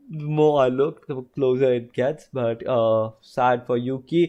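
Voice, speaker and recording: The man talks at a medium pitch over a quiet background. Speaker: F1 streamer. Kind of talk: live watch-along commentary. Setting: home live stream. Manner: loud; animated.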